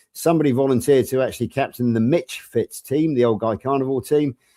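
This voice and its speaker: Fairly quick male speech in an English accent, dark and mellow in tone, dry and close with no echo, on a very clean recording with a silent background. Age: 60s. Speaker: health coach. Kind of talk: casual chat.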